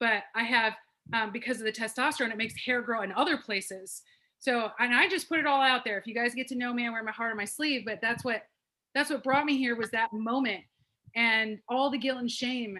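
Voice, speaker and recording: Loud and animated, a woman speaks at a fairly quick pace in a fairly high, bright, sharp voice with ordinary pitch variation. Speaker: wellness program participant. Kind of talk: testimony.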